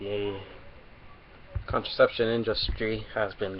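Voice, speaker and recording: Noticeable background noise runs through the clip. A man speaks at a fairly slow pace. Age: 20s. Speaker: vlogger. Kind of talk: webcam monologue.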